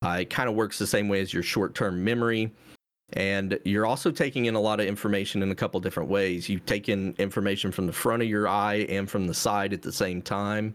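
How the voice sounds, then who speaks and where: A normal speaking voice from a man at a fairly low pitch and a fairly quick pace, with fairly even intonation, in a very clean recording with a silent background. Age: 40s. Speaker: gamer and streamer, gaming glasses entrepreneur. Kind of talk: casual chat.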